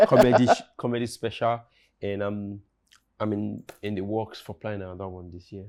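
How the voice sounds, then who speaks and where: A man with a Nigerian accent speaks in a fairly low, monotone, flat voice while his loudness swings widely. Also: moderate pace. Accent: Nigerian, unchanged. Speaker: comedian. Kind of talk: casual chat. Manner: halting, repeats words.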